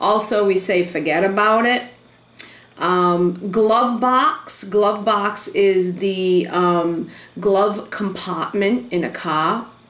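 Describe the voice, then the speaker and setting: Speaking very slowly in a Rhode Island accent, a woman keeps her intonation fairly even at a medium pitch, with noticeable background noise behind her. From Rhode Island, USA. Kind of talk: casual talk to camera.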